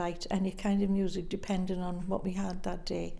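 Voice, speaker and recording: With audible room echo, a woman speaks in a dark, mellow tone and flat, monotone intonation. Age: 80s+. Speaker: interviewee in oral history project. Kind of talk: interview.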